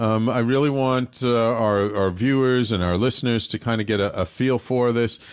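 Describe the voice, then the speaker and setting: Against a very clean recording with a silent background, a man with an American accent speaks at a moderate pace and medium pitch, with fairly even intonation and very even loudness. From New York City (Bronx). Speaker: radio talk show host. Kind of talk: casual interview; guided imagery exercise. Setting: studio. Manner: halting.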